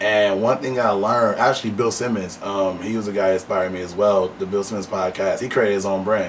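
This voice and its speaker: Amid noticeable background noise and audible room echo, a man with an American accent and fairly low pitch races at a very fast pace with hardly any pauses and fairly even intonation. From Flint, Michigan. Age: 20s. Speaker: podcast host. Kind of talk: interview.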